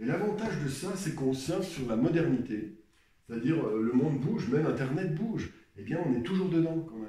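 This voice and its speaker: Amid noticeable background noise and audible room echo, a man with a fairly high pitch talks at a fairly quick pace with very wide pitch swings. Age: 60s. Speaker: painter. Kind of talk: advice talk. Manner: halting.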